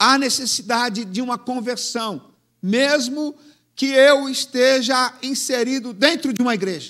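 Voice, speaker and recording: The speaker has a bright, sharp tone, ordinary pitch variation and a fairly slow pace. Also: man, extremely high pitch for a man. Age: 70s. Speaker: pastor. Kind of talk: sermon.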